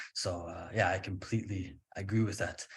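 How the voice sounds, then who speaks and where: A man speaks in a somewhat breathy voice. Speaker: English teacher. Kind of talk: podcast interview host. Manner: tired.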